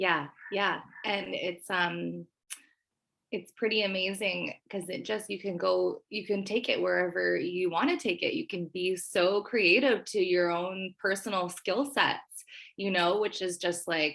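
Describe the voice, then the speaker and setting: With a Canadian accent, a woman speaks at a fairly slow pace in a medium pitch, showing vocal fry and ordinary pitch variation. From western Canada, Nelson BC. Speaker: prospective student. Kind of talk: casual interview. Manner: animated.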